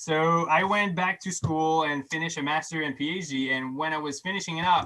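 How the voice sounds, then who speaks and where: A French accent at a fairly quick pace. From Quebec. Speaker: scientist. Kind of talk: lecture with Q&A. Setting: online video program. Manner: halting, many restarts.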